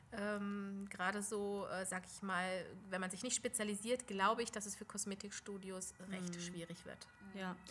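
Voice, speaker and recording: The delivery moves at a moderate pace with a monotone, flat intonation. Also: woman, medium pitch for a woman. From Lower Saxony, Germany. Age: 40s. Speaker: beautician, studio owner. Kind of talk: interview. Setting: studio.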